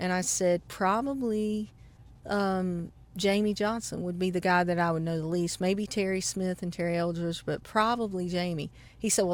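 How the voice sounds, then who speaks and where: A woman with a Southern US accent talks at a moderate pace and medium pitch with fairly even intonation. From South Carolina. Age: 40s. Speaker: banjo player. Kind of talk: interview. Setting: outdoors.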